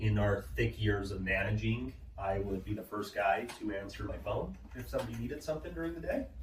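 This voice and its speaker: A man talks rather fast in a room with audible echo and clear background noise. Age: 20s. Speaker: solar sales manager. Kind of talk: interview. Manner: casual.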